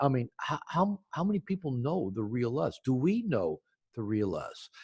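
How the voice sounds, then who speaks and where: A somewhat breathy man's voice at medium pitch and a moderate pace, with very wide pitch swings and a dry, close sound with no echo. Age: 60s. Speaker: psychotherapist and author. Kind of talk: interview. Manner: halting with frequent repetitions.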